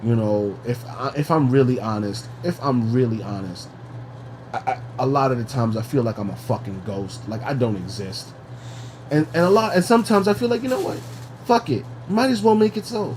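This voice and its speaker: Over noticeable background noise, a man with an American accent talks at a fairly quick pace, medium pitch and lively intonation. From New York. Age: 30s. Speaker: podcast co-host. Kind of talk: casual chat. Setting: at home. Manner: halting.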